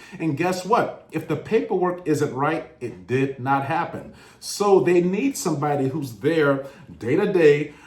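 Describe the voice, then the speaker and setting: Noticeable background noise and audible room echo around a fairly slow, fairly high male voice. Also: ordinary pitch variation. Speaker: government contracting educator, former contracting officer. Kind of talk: educational monologue.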